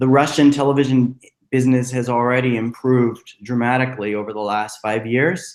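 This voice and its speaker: Using a plain, everyday voice with an American accent, a man speaks at a moderate pace and medium pitch with fairly even intonation. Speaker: screenwriter and teacher. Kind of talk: webinar talk.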